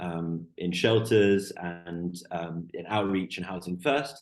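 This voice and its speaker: Against a quiet background, a man with an English accent talks in a very deep, low pitch and fairly even intonation. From Canada, Vancouver. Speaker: PhD researcher in drug policy. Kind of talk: podcast interview.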